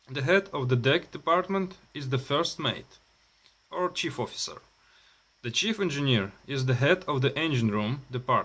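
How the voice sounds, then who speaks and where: A man with a Russian accent, bright, sharp tone and lively intonation. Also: fairly high pitch for a man, moderate pace. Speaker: maritime student. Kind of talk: reading aloud. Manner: halting.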